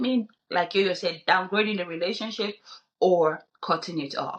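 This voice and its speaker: A woman talks at a fairly slow pace. Her pitch is medium. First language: not English. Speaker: podcast co-host. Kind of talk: casual discussion.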